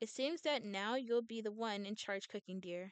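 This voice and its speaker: Put-on character voice from a woman, moderately paced and fairly high-pitched. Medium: game stream. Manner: dry, teasing.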